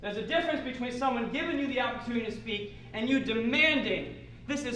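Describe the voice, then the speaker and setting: Over noticeable background noise and audible room echo, a man speaks at an extremely high pitch, with ordinary pitch variation. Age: 30s. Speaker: theater director. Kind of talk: workshop talk.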